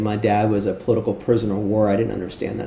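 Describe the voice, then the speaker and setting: A man with a fairly low pitch speaks at a very fast pace. Audible room echo and noticeable background noise surround him. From Miami, Florida (Cuban-born). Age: 60s. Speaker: charity founder. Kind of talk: interview. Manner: halting, many fillers.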